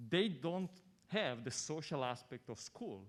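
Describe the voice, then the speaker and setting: A man speaks with an Italian accent at a moderate pace. His intonation is lively. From Italy. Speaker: audience member asking question. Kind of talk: audience question at panel.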